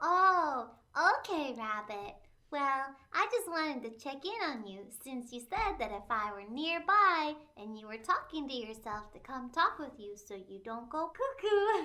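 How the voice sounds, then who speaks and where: A woman does a put-on character voice with a high pitch and very wide pitch swings. Her loudness swings widely, and her pace is moderate. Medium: audio drama. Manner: warm, teasing.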